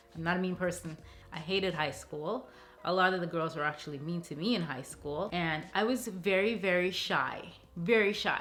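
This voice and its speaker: A woman with a fairly low voice speaks at a moderate pace, her pitch varying in an ordinary way. Room echo is audible. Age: 30s. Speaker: lifestyle vlogger. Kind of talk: casual Q&A vlog. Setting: alone in a room talking to camera. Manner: animated.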